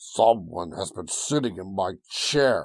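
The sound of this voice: A man puts on a gruff character voice with a fairly low pitch. He speaks at a fairly slow pace.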